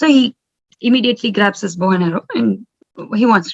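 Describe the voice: The background stays quiet. Someone reads aloud plainly.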